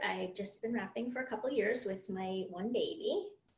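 A woman speaks with an American accent. Room echo is audible. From US, Florida. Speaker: accountant and mother. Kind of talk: tutorial.

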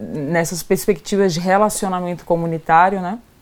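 Over noticeable background noise, a woman with a fairly low pitch speaks at a fairly quick pace. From Brazil, Salvador, Bahia. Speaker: social entrepreneur. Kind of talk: casual chat.

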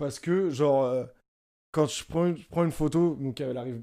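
Here a man speaks at a moderate pace with a dark, mellow tone and ordinary pitch variation. The recording is very clean, with a silent background. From Paris suburbs, France. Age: 20s. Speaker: photographer. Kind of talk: casual chat.

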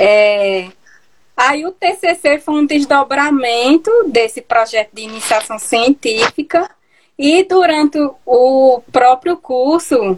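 Very slow in pace, a woman with a high pitch uses lively intonation, her loudness swinging widely. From Pernambuco agreste, Brazil. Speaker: geographer and researcher. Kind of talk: interview. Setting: online live stream. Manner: hesitant, many fillers.

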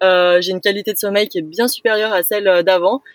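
Recorded dry and close with no echo, a woman talks at a very fast pace. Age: 20s. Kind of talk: casual interview. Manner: hesitant, many fillers.

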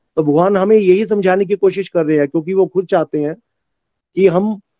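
A man's high-pitched voice with a dark, mellow tone, ordinary pitch variation, moderate pace, and a dry, close sound with no echo. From Chamba, Himachal Pradesh, India. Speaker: devotee. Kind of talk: testimony.

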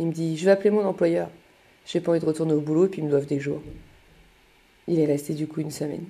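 Very fast speech comes from a woman with a fairly low pitch. Her tone is dark and mellow, and her intonation is monotone and flat. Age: 30s. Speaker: mother telling her life story. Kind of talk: personal storytelling monologue.

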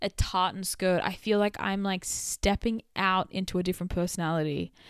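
A woman speaks in an animated tone with an Australian accent. The recording is very clean with a silent background, the sound dry and close with no echo. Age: 20s. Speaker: podcast host. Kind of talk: casual solo chat. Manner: chatty, animated.

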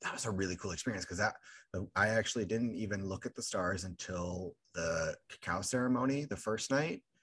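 With a plain, everyday voice, a man talks at a fairly quick pace in a fairly low pitch with ordinary pitch variation over a quiet background. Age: 20s. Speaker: podcast host. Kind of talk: casual chat.

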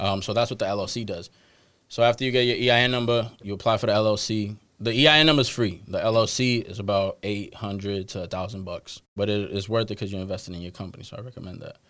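Speaking at a fairly quick pace with an American accent, a man with a plain, everyday voice and fairly low pitch keeps his intonation fairly even while his loudness swings widely. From Boston, Dorchester. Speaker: stock advising business owner. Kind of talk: casual interview.

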